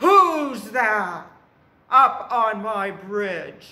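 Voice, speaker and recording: Putting on a character voice, this man performs it. The pitch he uses is high. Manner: menacing.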